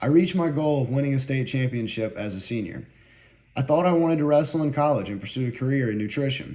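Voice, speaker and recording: A man with a slight Southern US accent and a fairly high-pitched, dark, mellow tone, at a very fast pace. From US South, North Carolina Piedmont. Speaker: university student. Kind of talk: prepared personal speech.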